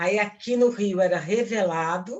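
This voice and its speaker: This woman talks at a very slow pace. Her pitch varies in an ordinary way. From Brazil, Rio de Janeiro (Ipanema). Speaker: actress. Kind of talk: lecture. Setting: talk to film students.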